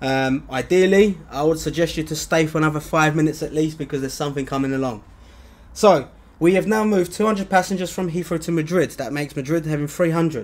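Here is a man with a plain, everyday voice, fairly high in pitch. He talks at a fairly quick pace with ordinary pitch variation. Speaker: lead developer of a flight sim app. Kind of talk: livestream software showcase and Q&A. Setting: livestream without camera. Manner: casual, filler-heavy.

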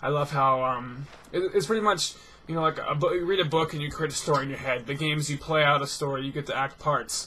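At a fairly quick pace, a man speaks with ordinary pitch variation over light background noise. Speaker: gaming commentator. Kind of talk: casual vlog monologue. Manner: fast talker; lighthearted, upbeat. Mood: relaxed, friendly. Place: home room.

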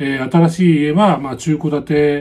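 This is a man with a fairly high pitch. He talks at a moderate pace. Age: 60s. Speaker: YouTuber. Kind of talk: vlog-style talk on real estate advice. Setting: home. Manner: many filler words, hesitant. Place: home room. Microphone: phone near.

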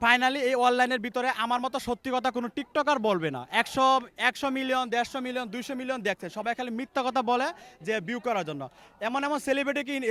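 The voice is raised and projected, with a bright, sharp tone and ordinary pitch variation. The sound is dry and close, with no echo. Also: man, extremely high pitch for a man. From Bangladesh, Gazipur. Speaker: TikTok creator. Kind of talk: street interview.

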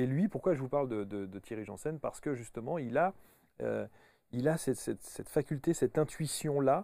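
The man's tone is dark and mellow, with lively intonation. His voice sounds dry, with no echo. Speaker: talk show host. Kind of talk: interview. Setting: studio. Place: studio. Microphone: lapel.

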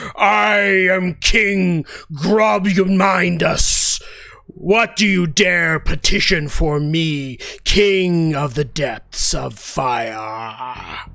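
A man uses a put-on character voice, high in pitch, at a very slow pace. There is light background noise.

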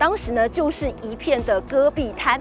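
A woman speaks at a moderate pace over clear background music. The sound is dry, with no echo. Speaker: TV news reporter. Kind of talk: news stand-up report. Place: open country.

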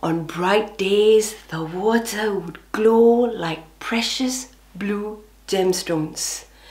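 A woman talks very slowly. Her pitch variation is ordinary. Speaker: professional storyteller and speech and drama educator. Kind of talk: children's storytelling. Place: home room.

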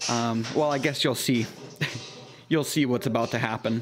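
Noticeable background noise runs under the recording. Over it, a man talks with fairly even intonation. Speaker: home renovation channel host. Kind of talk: retrospective voice-over narration.

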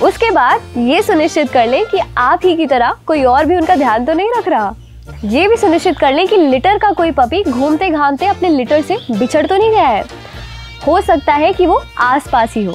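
A woman speaks at a moderate pace in an extremely high voice, with faint music in the background and a dry sound with no echo. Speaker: presenter. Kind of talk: tutorial. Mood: warm, earnest. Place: garden.

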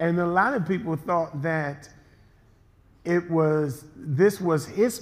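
Fairly slow pace from a man, ordinary pitch variation throughout. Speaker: pastor. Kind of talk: sermon; casual chat. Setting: church.

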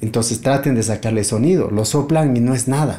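A man speaks at a moderate pace in a medium pitch, his tone dark and mellow, with ordinary pitch variation. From Bolivia, partly raised in Buenos Aires. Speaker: multi-instrumentalist musician and luthier; guest. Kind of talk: casual interview. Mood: calm, reflective. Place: home room.

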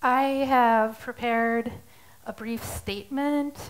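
At a very slow pace, a woman speaks with fairly even intonation. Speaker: artist. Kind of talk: prepared statement in court. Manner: halting. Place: stage. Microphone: headset.

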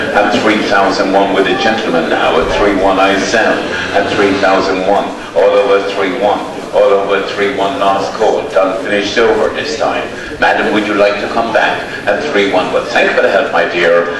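Amid noticeable background noise and audible room echo, a man speaks at a moderate pace in a fairly low pitch with monotone, flat intonation. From Ireland, county Roscommon. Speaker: livestock auctioneer. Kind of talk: livestock auction calling. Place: market.

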